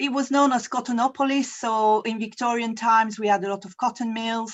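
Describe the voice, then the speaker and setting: Fairly even intonation marks a woman speaking with a French accent. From France. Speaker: university representative. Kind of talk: presentation. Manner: hesitant, with fillers.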